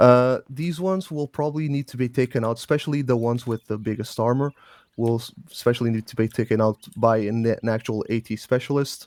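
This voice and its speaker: A man with a non-native accent talks at a fairly quick pace in a medium pitch with ordinary pitch variation, and the sound is dry and close with no echo. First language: not English. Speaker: game clan instructor. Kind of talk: training briefing. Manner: halting.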